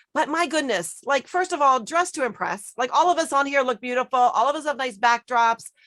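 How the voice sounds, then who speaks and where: A woman speaks fairly quickly at a high pitch with a bright, sharp tone. Her delivery is animated, with lively intonation. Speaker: networking group organizer. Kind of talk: panel discussion. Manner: fast.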